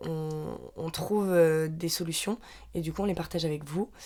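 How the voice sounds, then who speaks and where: A woman's fairly low voice keeps a fairly even intonation. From Normandy, France. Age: 20s. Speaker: podcast co-host. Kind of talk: casual chat.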